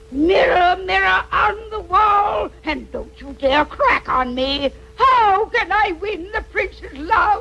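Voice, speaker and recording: A cartoonish character voice pitched extremely high. Clear background noise sits behind it. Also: fairly slow pace. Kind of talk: comic cartoon voice acting. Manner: cackling, wisecracking.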